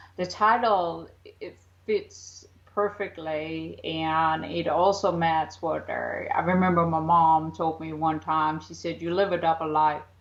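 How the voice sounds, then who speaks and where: This woman speaks at a fairly slow pace in an American accent, her pitch fairly low and her intonation fairly even. Her loudness swings widely. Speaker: psychic author. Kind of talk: interview. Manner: halting, many fillers; deliberately slowed.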